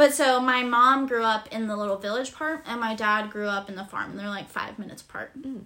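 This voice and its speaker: A woman's fairly high, bright, sharp voice at a fairly quick pace, with ordinary pitch variation and big swings in loudness. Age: 20s. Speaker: graphic designer. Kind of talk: casual chat. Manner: hesitant, filler-heavy.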